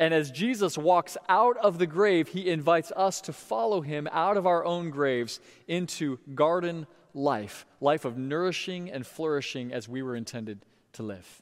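In a very clean recording with a silent background, a man with a fairly high pitch and an unremarkable speaking voice talks at a moderate pace, with lively intonation and big swings in loudness. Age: 40s. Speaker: pastor. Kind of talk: sermon. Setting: church.

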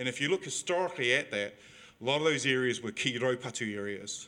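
A bright, sharp tone in a New Zealand accent at a fairly quick pace. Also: man. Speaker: audience member. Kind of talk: question from audience. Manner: halting.

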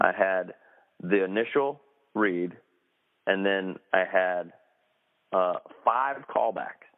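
The speaker talks at a very slow pace with a North Carolina accent. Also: man. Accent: US Southern (North Carolina). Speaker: actor. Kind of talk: interview. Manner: halting, many fillers.

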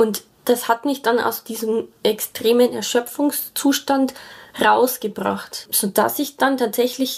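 Very slowly, a woman talks at a fairly high pitch with fairly even intonation. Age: 30s. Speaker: sustainable building engineer sharing vaccine injury story. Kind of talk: personal testimony.

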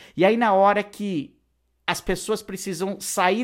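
A man's animated tone comes through in a very clean recording with a silent background. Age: 40s. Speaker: podcast host and online course educator. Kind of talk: solo podcast monologue.

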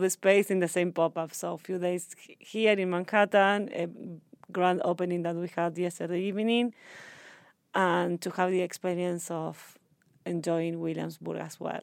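On a very clean recording with a silent background, a woman with a Spanish accent speaks in a monotone, flat intonation at a fairly low pitch and moderate pace. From Argentina. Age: 30s. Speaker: sustainable fashion entrepreneur. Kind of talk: interview. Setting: in person.

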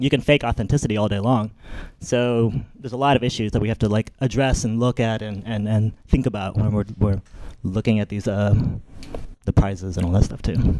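With a dark, mellow tone and medium pitch, a man talks at a fairly quick pace with ordinary pitch variation. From US South. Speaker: illustrator. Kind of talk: panel discussion. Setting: stage with audience.

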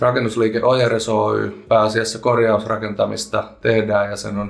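This man has a fairly low pitch and a monotone, flat intonation, speaking at a fairly slow pace. Room echo is audible. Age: 20s. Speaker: local politician and parliamentary candidate. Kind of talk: interview.

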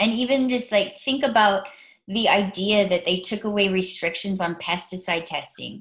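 A woman speaks at a medium pitch with ordinary pitch variation. Her voice is somewhat breathy, and her pace is moderate. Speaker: podcast co-host and cannabis patient. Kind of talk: casual chat. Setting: video call.

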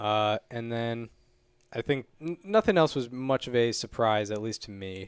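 Speaking fairly slowly, a man uses a medium pitch with ordinary variation, captured on a very clean recording against a silent background. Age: 20s. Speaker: baseball podcast host. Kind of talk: casual chat.

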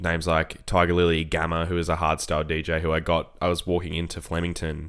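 A man's very deep, low voice on a very clean recording with a silent background. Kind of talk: casual chat.

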